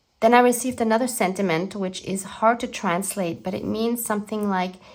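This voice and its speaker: With a German accent, a woman speaks at a moderate pace and keeps her intonation fairly even. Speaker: art journaling YouTuber. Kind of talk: scripted narration.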